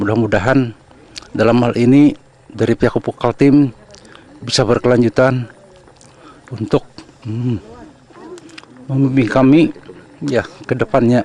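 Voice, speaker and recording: Speech at a fairly slow pace is broken by long, frequent pauses, with a dry, close sound that has no echo and noticeable background noise. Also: man, medium pitch for a man. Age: 60s. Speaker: farmer. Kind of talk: interview. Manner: halting.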